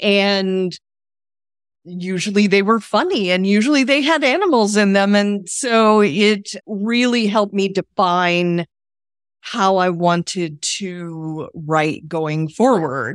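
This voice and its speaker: Very slow, lively speech from a woman at medium pitch with an American accent, on a very clean recording with a silent background. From Texas. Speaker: romance author. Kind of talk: casual interview chat.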